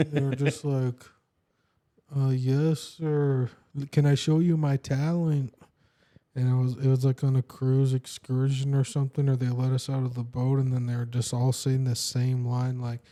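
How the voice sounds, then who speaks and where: A man's medium-pitched voice, flat and monotone, dark and mellow in tone, at a moderate pace. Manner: unsure, hesitant delivery.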